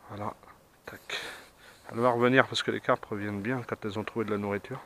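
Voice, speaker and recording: A man's fairly low-pitched voice with a bright, sharp tone at a very fast pace, in a dry, close sound with no echo. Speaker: carp angler filming his fishing. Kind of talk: on-the-spot fishing commentary. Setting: outdoors at a pond. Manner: enthusiastic, repetitive; soft-spoken, quiet to not scare fish.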